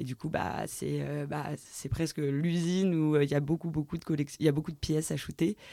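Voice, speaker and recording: A woman's dark, mellow voice, very deep and low in pitch, at a moderate pace with fairly even intonation. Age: 20s. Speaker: creative studio co-founder and stylist. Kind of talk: interview. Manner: halting.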